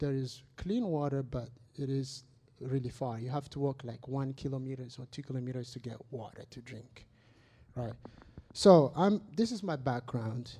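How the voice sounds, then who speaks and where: A man at medium pitch and moderate pace, dark and mellow in tone, somewhat breathy, with big swings in loudness and ordinary pitch variation. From Madagascar. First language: not English. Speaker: church member giving testimony. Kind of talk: testimony.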